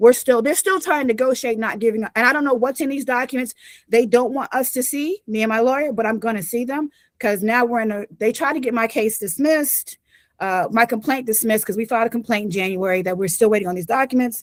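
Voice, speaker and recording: A woman's fairly high voice, very fast in pace, with ordinary pitch variation. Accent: American. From US South (North Carolina). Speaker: victim's family member giving testimony. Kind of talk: public testimony. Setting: public commission meeting.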